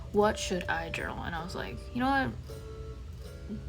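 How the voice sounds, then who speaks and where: Music plays in the background while a woman talks. She keeps a moderate pace, and the room echo is audible. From Taiwan. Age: 20s. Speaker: journaling vlogger. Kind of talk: casual voiceover. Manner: hesitant, many fillers.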